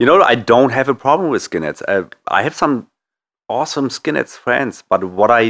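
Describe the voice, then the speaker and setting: The recording is very clean, with a silent background. A man with a German accent speaks at a moderate pace and medium pitch, his intonation lively. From Germany. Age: 50s. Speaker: author. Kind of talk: interview.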